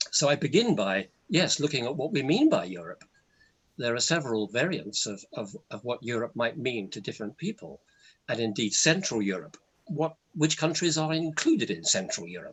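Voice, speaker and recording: A man with an English accent, with vocal fry and very wide pitch swings. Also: fairly high pitch for a man, moderate pace. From England. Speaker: university lecturer. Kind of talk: webinar presentation.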